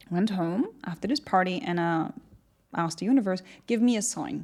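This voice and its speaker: A woman with a German accent, dark, mellow tone and lively intonation, in a very clean recording with a silent background. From Germany. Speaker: entrepreneur. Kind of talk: podcast interview. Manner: animated.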